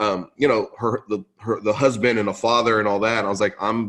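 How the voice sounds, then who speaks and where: Here a man speaks at a medium pitch and a fairly quick pace. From Central California, US (moved from Lebanon at 5). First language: Arabic (English second language). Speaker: podcast host and conference founder. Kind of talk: podcast interview. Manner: casual, filler-heavy.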